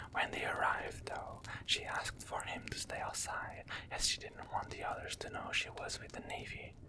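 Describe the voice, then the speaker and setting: There is noticeable background noise. Through it comes whispering at a moderate pace. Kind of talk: ASMR story reading. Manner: whispered, soft-spoken.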